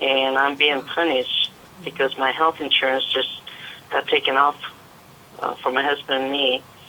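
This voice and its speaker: A woman talks at a moderate pace in a very deep, low voice with monotone, flat intonation. Noticeable background noise runs behind her. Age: 70s. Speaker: caller, home caregiver for her mother. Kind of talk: caller question. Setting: phone call. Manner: halting.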